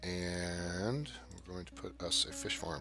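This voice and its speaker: Lively male intonation with music in the background. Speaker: gaming video host. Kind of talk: casual live-stream game commentary.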